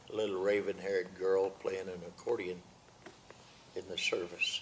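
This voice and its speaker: Here a man talks with an American accent at a fairly slow pace. Background noise is noticeable. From US Midwest, Missouri and Illinois. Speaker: retired pastor and evangelist. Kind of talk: testimony.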